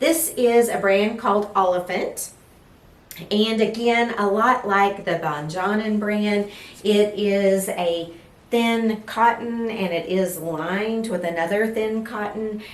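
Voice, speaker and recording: A woman speaks very slowly in an East Texas accent at a medium pitch with ordinary pitch variation, over noticeable background noise and audible room echo. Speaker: lifestyle vlogger. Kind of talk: casual fashion vlog. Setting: at home, filming with ring light.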